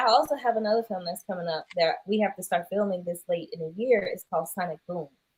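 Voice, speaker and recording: A woman talks at a fairly quick pace. She speaks with a New Orleans accent. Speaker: actress. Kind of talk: casual chat.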